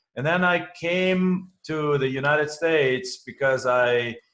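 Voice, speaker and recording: A man with a German accent. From Germany. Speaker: real estate investor. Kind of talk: interview.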